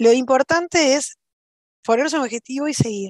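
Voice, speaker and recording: The sound is dry and close, with no echo and a quiet background. Intonation is lively, and the pace is moderate. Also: woman. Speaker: cybersecurity professional and instructor. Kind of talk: interview.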